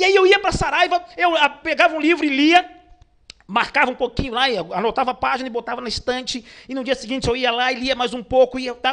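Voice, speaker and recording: Extremely high-pitched, a man talks very fast with lively intonation. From Brazil, Pernambuco (Northeast), raised in Rio de Janeiro. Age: 40s. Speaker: motivational speaker. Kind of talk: online lecture. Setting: online webinar.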